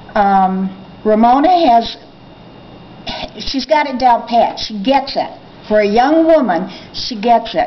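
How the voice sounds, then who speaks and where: A woman's fairly high-pitched voice with lively intonation, at a very slow pace with long, frequent pauses, over noticeable background noise. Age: 60s. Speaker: book reader. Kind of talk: interview.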